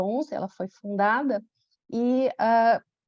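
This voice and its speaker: Speaking fairly slowly with a Brazilian accent, a woman uses a fairly high pitch and ordinary pitch variation. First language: Portuguese (speaking Spanish). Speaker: pediatric dermatologist. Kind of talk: conference talk.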